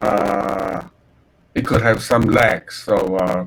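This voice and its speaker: A man talks at a very slow pace. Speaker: university lecturer. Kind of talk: lecture. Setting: online class via video call. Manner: halting, many fillers.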